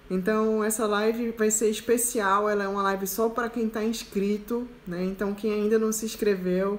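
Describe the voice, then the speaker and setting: Her voice sits at a fairly high pitch for a woman. She talks at a moderate pace with monotone, flat intonation. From interior of Pernambuco, Brazil (Araripina). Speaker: self-knowledge coach. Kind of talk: live stream Q&A talk. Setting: live stream.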